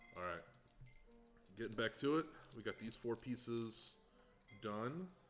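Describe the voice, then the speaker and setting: Over music in the background, a man speaks at a fairly slow pace in a relaxed tone with lively intonation. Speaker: livestreamer building a hurdy gurdy. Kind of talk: casual livestream commentary while crafting. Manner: relaxed, with many filler words.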